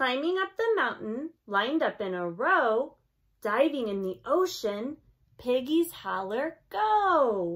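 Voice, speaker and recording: A woman speaks very slowly at a high pitch. Her pitch swings very widely. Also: quiet background. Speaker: teacher. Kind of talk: read-aloud storytime for children. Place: home room. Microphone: phone near.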